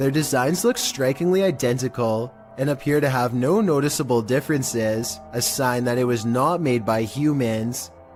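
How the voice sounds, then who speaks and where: With music in the background, a man talks at medium pitch and a moderate pace. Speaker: YouTube narrator. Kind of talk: scary video countdown narration.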